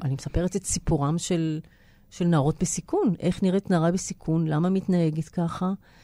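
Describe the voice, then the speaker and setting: A woman speaks with a dark, mellow tone at a fairly low pitch, her intonation fairly even and her loudness very even. The pace is fairly slow, and the recording is very clean with a silent background. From Israel. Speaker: actress and theatre writer. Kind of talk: interview. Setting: studio.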